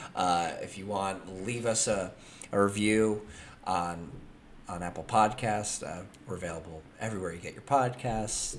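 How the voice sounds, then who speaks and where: Using an ordinary speaking voice, a man with an American accent speaks at a fairly low pitch with ordinary pitch variation. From California. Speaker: podcast host. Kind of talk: casual chat.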